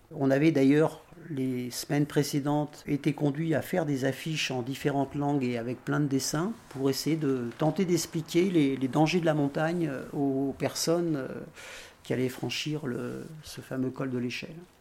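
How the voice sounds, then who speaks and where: In an ordinary speaking voice, a man with a fairly high pitch speaks at a fairly slow pace and keeps his intonation fairly even. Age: 60s. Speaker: retired activist volunteer. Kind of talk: testimony.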